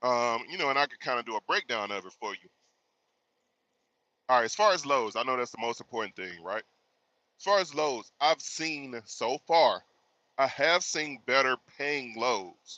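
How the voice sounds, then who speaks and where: Lively intonation from a man with an American accent, medium pitch and a bright, sharp tone, moderate pace with long, frequent pauses, dry, close sound with no echo, and a quiet background. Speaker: truck driver. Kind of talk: live stream chat. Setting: live stream. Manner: casual.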